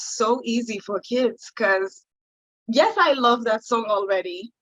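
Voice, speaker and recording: In a Haitian accent, a woman speaks very slowly at a high pitch. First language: Haitian Creole. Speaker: singer-songwriter. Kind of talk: interview. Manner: halting, many fillers.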